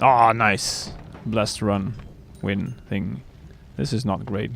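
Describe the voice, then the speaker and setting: Over music in the background and audible room echo, a man with a fairly low voice talks at a very slow pace with ordinary pitch variation. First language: Dutch. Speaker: gaming streamer. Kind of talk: live gameplay commentary. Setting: live stream.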